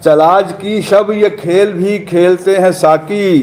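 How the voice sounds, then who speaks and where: Amid noticeable background noise, a man speaks with fairly even intonation. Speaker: poet. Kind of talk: poetry reading.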